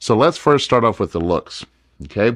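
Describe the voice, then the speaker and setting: A man talks with very wide pitch swings. The background is quiet. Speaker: presenter. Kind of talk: tutorial.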